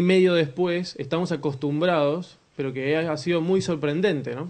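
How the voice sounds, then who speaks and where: With an Argentine accent, a man speaks at a moderate pace in a fairly high pitch and fairly even intonation. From Argentina. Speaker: communication speaker at a church conference. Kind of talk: conference talk.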